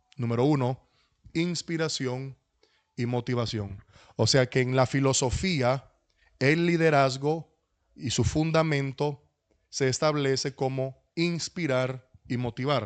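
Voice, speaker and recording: A very slow, medium-pitched male voice with long, frequent pauses, ordinary pitch variation and a quiet background. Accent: Dominican. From Dominican Republic. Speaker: pastor. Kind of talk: lecture.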